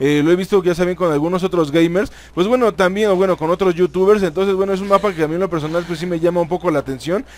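In a Mexican accent, a man speaks at a very fast pace in a high pitch, with an animated tone and ordinary pitch variation. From Mexico. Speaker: gaming youtuber. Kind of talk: gameplay commentary.

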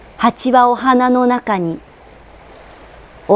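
A woman speaks at a very slow pace with ordinary pitch variation over noticeable background noise. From Tokyo. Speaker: actress. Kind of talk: poetry reading.

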